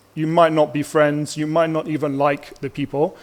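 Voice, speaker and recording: Pitched fairly high, a man talks at a moderate pace in a normal speaking voice. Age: 30s. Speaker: teacher presenting to parents. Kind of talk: presentation to parents at open house. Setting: school open house presentation.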